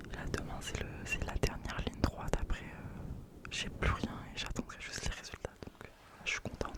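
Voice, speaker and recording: A fairly slow whisper with noticeable background noise. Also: woman. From France. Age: 20s. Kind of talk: casual ASMR intro talk. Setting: home studio, close microphone. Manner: whispered.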